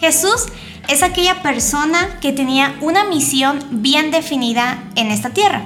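A woman talks with a Mexican accent, her high voice full of lively intonation. Room echo is audible, and background noise is noticeable. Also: fairly slow pace. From Mexico. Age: 20s. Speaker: theology student and Bible teacher. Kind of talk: casual religious discussion.

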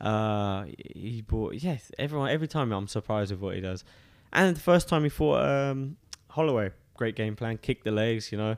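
On a very clean recording with a silent background, a man with an English accent speaks at a medium pitch with lively intonation. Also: moderate pace. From eastern England, Suffolk. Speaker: professional MMA fighter. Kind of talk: interview. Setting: studio.

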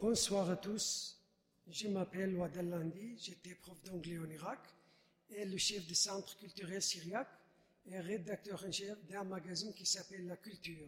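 Speaking at a fairly slow pace, a man with a high voice keeps his intonation fairly even. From Iraq. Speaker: refugee witness, subdeacon. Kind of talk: testimony. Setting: church.

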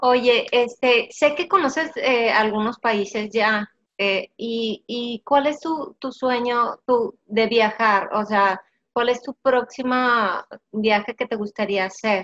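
Heard in a dry, close recording with no echo, a woman with a high pitch talks at a very slow pace with ordinary pitch variation. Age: 40s. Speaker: podcast host, business coach. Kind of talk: casual interview. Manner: animated.

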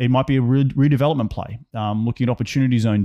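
The delivery is very fast, in an Australian accent, with a dark, mellow tone and ordinary pitch variation. The sound is dry and close with no echo, over a quiet background. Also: man. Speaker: real estate investor. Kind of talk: casual interview chat.

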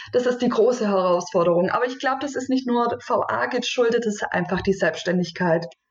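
A woman talks at a fairly quick pace, pitched fairly high, with hardly any pauses. She has an unremarkable speaking voice. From southwestern Germany, Stuttgart area. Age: 30s. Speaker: virtual assistant, freelancer. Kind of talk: podcast interview.

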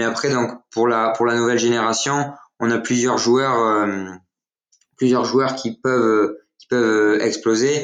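A man speaks fairly slowly in a monotone, flat intonation at a medium pitch. Audible room echo surrounds the voice. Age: young. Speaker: football social media account runner. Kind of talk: casual chat.

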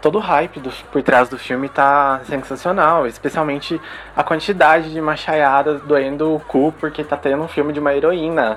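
Amid noticeable background noise, a man talks at a moderate pace with a fairly high pitch and fairly even intonation. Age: 20s. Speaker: pop culture podcaster. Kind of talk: casual chat.

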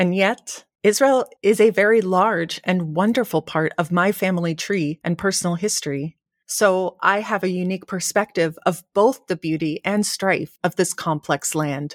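A woman speaks at a moderate pace at medium pitch, with hardly any pauses, in an unremarkable speaking voice. The sound is dry and close, with no echo. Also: ordinary pitch variation. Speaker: podcast host. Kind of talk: scripted narration and interview. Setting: video call.

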